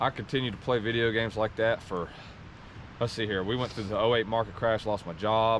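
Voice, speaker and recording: Here a man speaks at a fairly quick pace. His pitch is medium and his intonation fairly even. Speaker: vlogger hiking with his partner. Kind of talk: casual personal talk on a hike. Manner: halting, many fillers.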